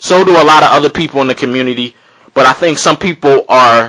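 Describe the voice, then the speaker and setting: Fairly high in pitch, a man speaks at a fairly quick pace. His pitch variation is ordinary. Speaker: amateur boxer and boxing commentator. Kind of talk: video commentary monologue. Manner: fast; animated.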